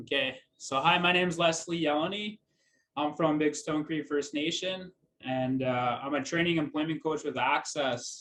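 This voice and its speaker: The speaker has a western Canadian accent. The pace is moderate, with ordinary pitch variation. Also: man. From Alberta, Canada. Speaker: training and employment coach. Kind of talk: presentation. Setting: video call.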